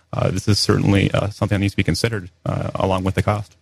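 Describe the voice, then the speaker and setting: In a dry, close sound with no echo, a man speaks at a fairly low pitch, somewhat breathy and with monotone, flat intonation. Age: 20s. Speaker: political candidate. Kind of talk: radio interview.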